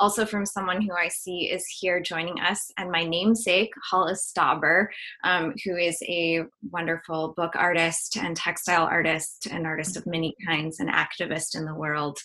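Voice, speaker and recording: Over noticeable background noise, a woman speaks at a moderate pace in a fairly low pitch with fairly even intonation. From North Carolina, US South. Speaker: artist and musician. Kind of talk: artist talk presentation. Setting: video call.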